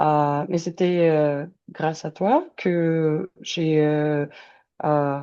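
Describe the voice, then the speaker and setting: This woman's voice sits very deep and low, with a dark, mellow tone and a very slow pace. Her loudness stays very even and her intonation fairly even. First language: not French or English (speaking French). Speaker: language learner, immigration candidate. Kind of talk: interview testimony. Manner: halting, many hesitations.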